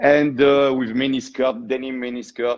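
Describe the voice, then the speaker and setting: Someone with a strong French accent talks at a moderate pace against a quiet background. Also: man. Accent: thick French. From southwestern France (Tarbes). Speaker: shoe designer. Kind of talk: interview.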